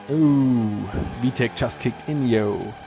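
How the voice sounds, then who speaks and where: A man is speaking. He has a non-native accent. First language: not English. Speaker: retro computer hobbyist. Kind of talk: hardware review narration.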